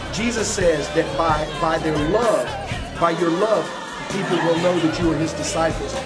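A man talks while loud music plays in the background. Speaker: guest preacher. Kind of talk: interview answer. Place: hall. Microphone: camera far.

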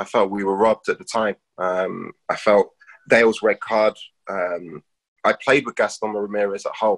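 A man against a quiet background. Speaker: retired footballer now coach. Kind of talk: casual chat. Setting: video call. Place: home room. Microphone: video call.

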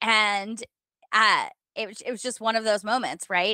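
In a bright, sharp tone, a woman with a fairly high pitch speaks at a moderate pace with fairly even intonation, the sound dry with no echo and the background quiet. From US Midwest, rural Minnesota. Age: 40s. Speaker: author, podcaster and former lawyer; podcaster, former lawyer. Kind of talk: interview. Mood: warm, reflective. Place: home room. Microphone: headset.

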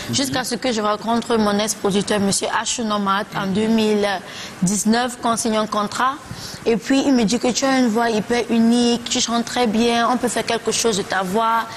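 A woman talks at a fairly slow pace with fairly even intonation and very even loudness. Light background noise can be heard. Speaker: guest. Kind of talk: interview answer. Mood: relaxed, smiling. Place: studio.

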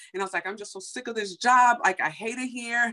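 American accent from a woman. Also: quiet background. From US Midwest, Chicago. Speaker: beauty entrepreneur; guest. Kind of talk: testimony. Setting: video call. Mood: emotional, animated storytelling. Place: home room. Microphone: video call.

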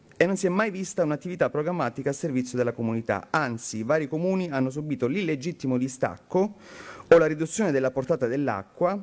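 Speaking very fast with lively intonation, a man with a Calabrian accent has a fairly high pitch. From Calabria, southern Italy. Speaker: member of parliament; politician giving a speech. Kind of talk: conference speech. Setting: conference hall. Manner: formal. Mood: earnest, critical. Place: hall. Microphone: podium.

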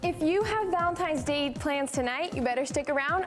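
With clear music playing behind it, a voice with an American accent sounds upbeat and energetic, with ordinary pitch variation. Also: woman. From Arizona, United States. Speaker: weathercaster. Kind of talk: TV weather forecast presentation. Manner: upbeat, energetic. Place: studio. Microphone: lapel.

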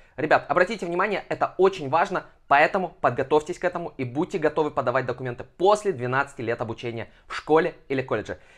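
With lively intonation and an animated tone, a man with a fairly high pitch talks at a very fast pace over a quiet background. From Kazakhstan, Almaty. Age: 20s. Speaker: education blogger; education advice vlogger. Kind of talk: informational vlog. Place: home room. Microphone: lapel.

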